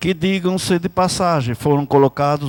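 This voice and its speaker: On a very clean recording with a silent background, a man's voice is the only sound. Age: 60s. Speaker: city councillor. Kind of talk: political speech. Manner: formal.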